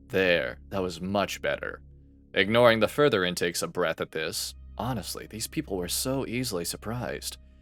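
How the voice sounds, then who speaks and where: Over background music, a man talks at a fairly quick pace with lively intonation. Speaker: voice actor. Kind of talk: audiobook narration.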